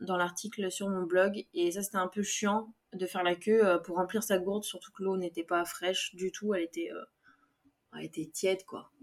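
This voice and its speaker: Here is a plain, everyday voice, delivered at a moderate pace with fairly even intonation. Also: woman. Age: 20s. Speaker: podcast host. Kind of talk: casual solo podcast monologue.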